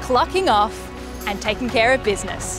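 Over clear music in the background, a woman speaks at a moderate pace with a fairly high pitch and very wide pitch swings. The sound is dry with no echo. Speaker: TV host, comedian. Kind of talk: TV show promo, host to camera. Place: open country.

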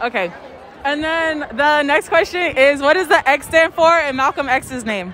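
At a moderate pace, a woman with a high pitch and fairly bright tone speaks with ordinary pitch variation, faint crowd noise and faint background noise behind her.

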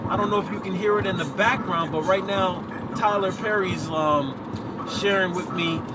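Fairly high-pitched for a man, his voice keeps a fairly even intonation. Background noise is clearly audible.

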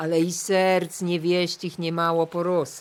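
This woman has a plain, everyday voice with a fairly low pitch. She speaks at a fairly slow pace. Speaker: voice-over reader. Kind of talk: folk-dialect storytelling podcast narration.

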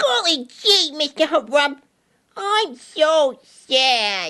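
A cartoonish character voice pitched high moves at a very slow pace. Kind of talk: comic overacting. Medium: puppet show. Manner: naive, golly-gee earnest.

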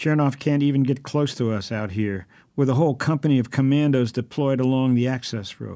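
Pitch moves in an ordinary way. The text is read aloud in a natural voice.

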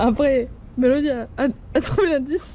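A woman with a high pitch and ordinary pitch variation, a dark, mellow tone and a moderate pace

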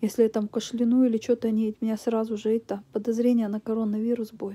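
A woman speaks at a moderate pace in a dark, mellow, somewhat breathy voice, with a tired tone and monotone, flat intonation. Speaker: vlogger. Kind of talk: casual vlog chat. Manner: tired, feverish, low sick voice. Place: home room.

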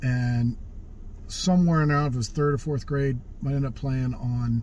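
The sound is dry with no echo, over light background noise. The pace is fairly slow. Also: man. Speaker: vlogger telling life stories. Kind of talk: casual vlog chat. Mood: relaxed, wry humor. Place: car. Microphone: phone near.

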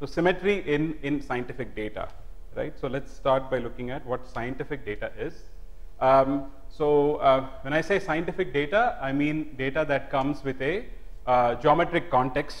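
The man's pitch shifts in an ordinary way. He keeps to a moderate pace. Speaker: professor giving a public lecture. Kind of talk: lecture. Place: hall. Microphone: lapel.

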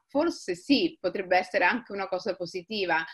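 The background is quiet. A woman speaks with lively intonation. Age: 40s. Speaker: writer. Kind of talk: interview conversation. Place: home room. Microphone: webcam.

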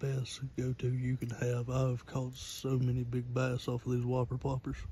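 Whispering, a man speaks at a moderate pace with a Southern US accent. The sound is dry with no echo, and there's light background noise. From North Carolina. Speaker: ASMR creator. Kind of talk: ASMR whispering. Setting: outdoors by a pond. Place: waterside. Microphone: phone mic picks up breathing; phone near.

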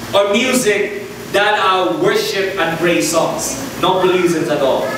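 Through strong room echo and noticeable background noise, a man speaks at a very slow pace. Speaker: preacher. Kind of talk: sermon. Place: church.

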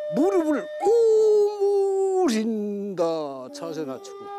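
A man speaks at a very slow pace over loud background noise. The sound is dry, with no echo. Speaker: mountain recluse practising breathing exercises. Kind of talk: casual talk on TV documentary. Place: open country.

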